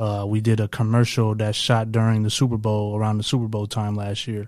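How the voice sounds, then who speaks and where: A man with an American accent talks at a fairly low pitch in a dark, mellow tone, with monotone, flat intonation. The recording is very clean, with a silent background. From Toledo, Ohio, US Midwest. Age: 30s. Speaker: entrepreneur and Air Force veteran. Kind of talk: casual interview.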